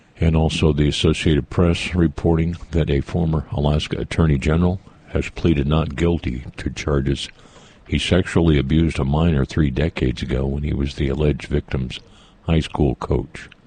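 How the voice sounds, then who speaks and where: Very deep, low male voice, fairly even intonation, moderate pace, and noticeable background noise. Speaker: radio morning host. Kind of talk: radio news read. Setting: radio studio.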